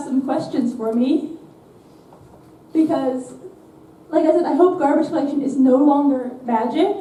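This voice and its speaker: A woman's high-pitched voice at a fairly slow pace, fairly even in intonation, with audible room echo and noticeable background noise. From Netherlands. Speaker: software developer, conference speaker. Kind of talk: conference talk. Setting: stage with audience.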